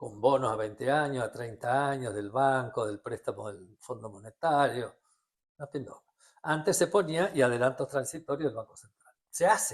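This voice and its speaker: A man speaks in a Rioplatense accent at a moderate pace and fairly high pitch. His delivery is somewhat breathy, with lively intonation. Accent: Argentine Rioplatense Spanish. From Argentina. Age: 70s. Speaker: economist. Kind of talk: interview. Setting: at his home.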